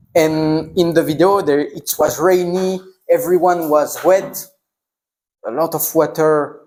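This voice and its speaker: Speaking at a fairly slow pace, a man with a French accent uses a high pitch and fairly even intonation. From northern France. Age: 20s. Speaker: traveler. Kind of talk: Q&A conversation with students. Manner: halting non-native speech.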